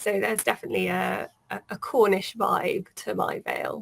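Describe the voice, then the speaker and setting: A woman talks with a British accent. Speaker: author. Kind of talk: casual interview.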